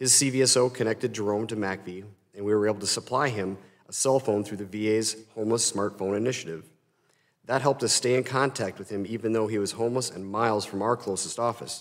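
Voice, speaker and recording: A man with an Upper Midwest accent speaks at a very fast pace with fairly even intonation. The recording is very clean, with a silent background. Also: fairly low pitch for a man. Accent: Upper Midwest (Minnesota). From rural Minnesota. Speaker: nonprofit executive and army veteran. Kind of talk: congressional testimony. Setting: congressional hearing room. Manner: formal.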